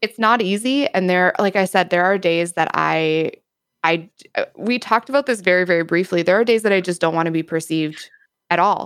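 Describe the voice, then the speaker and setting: In a very clean recording with a silent background, a woman of medium pitch talks at a fairly quick pace with ordinary pitch variation and very even loudness. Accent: Upper Midwest. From US Midwest, Wisconsin. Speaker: streamer and content creator. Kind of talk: casual interview chat.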